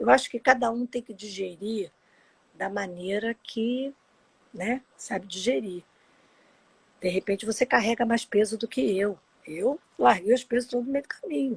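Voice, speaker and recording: Her voice somewhat breathy and fairly high in pitch, a woman speaks at a fairly slow pace with ordinary pitch variation and long, frequent pauses in a dry, close sound with no echo. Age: 60s. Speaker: adoptee sharing her story. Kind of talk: personal testimony in a live interview. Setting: Instagram live video.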